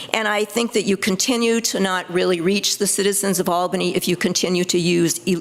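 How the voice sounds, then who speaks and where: Over noticeable background noise, a woman speaks fairly quickly, her intonation fairly even. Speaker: public commenter at city council meeting. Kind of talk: public comment. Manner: fast; halting, many fillers.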